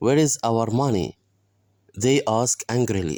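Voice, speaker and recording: A man speaks with an Egyptian accent in a dark, mellow tone. The sound is dry and close with no echo, and the recording is very clean over a silent background. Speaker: English teacher. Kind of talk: bilingual story reading with translation.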